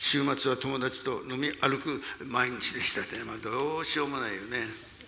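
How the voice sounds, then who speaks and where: Noticeable background noise behind a man speaking at a fairly high pitch. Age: 80s. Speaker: pastor. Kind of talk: sermon. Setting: church.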